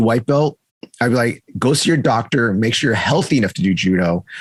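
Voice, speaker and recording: A man's very fast, animated delivery with lively intonation. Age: 30s. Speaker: judo coach and podcast host. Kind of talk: casual chat.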